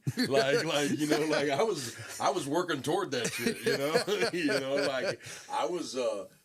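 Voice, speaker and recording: Speaking with an American accent, a man uses a fairly high pitch, lively intonation, and a fairly slow pace over noticeable background noise. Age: 50s. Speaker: former drug dealer, business owner. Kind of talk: interview testimony. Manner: halting, repetitive.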